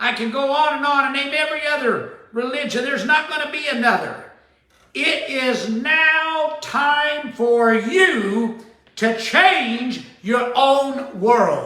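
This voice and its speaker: At a very slow pace, a man with an extremely high pitch and ordinary pitch variation speaks in a raised, projected voice with audible room echo. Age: 70s. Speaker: spiritual teacher and show host. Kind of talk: sermon-style talk show monologue. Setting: at daughter's home.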